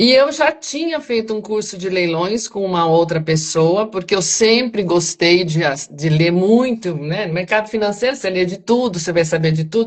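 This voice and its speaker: In a normal speaking voice, a woman talks at a moderate pace and medium pitch with lively intonation and hardly any pauses. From Brazil, São Paulo. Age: 60s. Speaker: retired banker and teacher, property auction investor. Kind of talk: interview on live stream. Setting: live stream.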